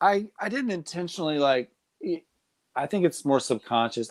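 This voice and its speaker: Speaking at a fairly quick pace, a man comes through with a dry, close sound, no echo, and a very clean recording with a silent background. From US South, Nashville, Tennessee. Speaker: comedic content creator and waiter. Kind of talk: casual interview chat.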